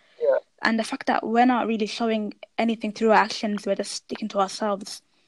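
At a very fast pace, a woman talks in a fairly high voice with fairly even intonation. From Birmingham, England. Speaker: podcast host. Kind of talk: casual chat.

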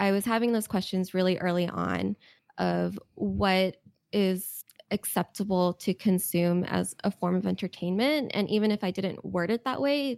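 In a very clean recording with a silent background and a dry, close sound with no echo, a woman with an ordinary speaking voice talks at a moderate pace with a medium pitch and ordinary pitch variation. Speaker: game writer. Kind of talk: casual interview chat.

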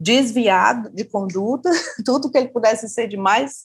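A woman speaks in a normal speaking voice. Her pace is moderate and her pitch variation ordinary. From Brazil, Fortaleza, Ceará. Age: 40s. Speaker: writer and journalist. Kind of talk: casual interview.

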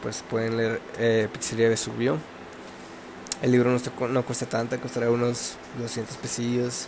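With noticeable background noise behind him, a man with a Mexican accent speaks at a medium pitch and a moderate pace in a flat, monotone delivery. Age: 20s. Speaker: podcaster. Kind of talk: casual monologue. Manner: halting.

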